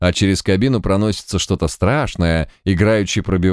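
The speaker uses plain reading aloud.

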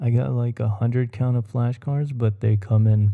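A man talks at a fairly slow pace and medium pitch. His tone is dark and mellow, and somewhat breathy. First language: Spanish. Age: 20s. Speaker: podcast host. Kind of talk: solo casual podcast. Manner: rambling with filler words.

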